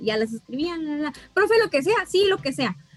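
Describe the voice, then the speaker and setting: Loud and recorded with a dry, close sound and no echo, a woman speaks with very wide pitch swings. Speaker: math teacher. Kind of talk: casual chat. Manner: loud, carrying.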